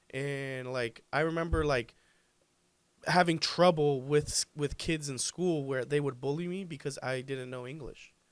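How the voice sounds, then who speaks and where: A man's fairly high voice with a Spanish accent, fairly slow and fairly even in intonation. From Colombia. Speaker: pool business owner. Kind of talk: podcast interview.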